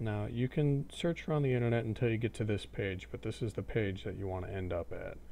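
A plain, everyday voice speaks at a moderate pace. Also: man. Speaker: gaming tutorial creator. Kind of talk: screen-recorded software tutorial. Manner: casual, relaxed.

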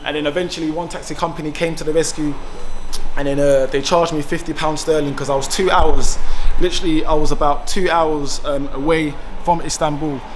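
A man speaks at a fairly quick pace with monotone, flat intonation over light background noise. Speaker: travel vlogger. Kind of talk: casual vlog chat. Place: station. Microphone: phone near.

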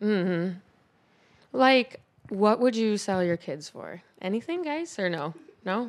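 A woman with an American accent talks at a very slow pace, leaving long, frequent pauses. Her pitch swings very widely. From Buffalo, New York; New York. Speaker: comedian. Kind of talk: casual chat. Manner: animated. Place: studio. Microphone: handheld.

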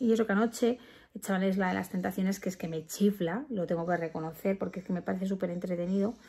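A somewhat breathy woman at a very fast pace, with fairly even intonation. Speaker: parent vlogger. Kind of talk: casual vlog chat. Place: home room. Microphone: phone near.

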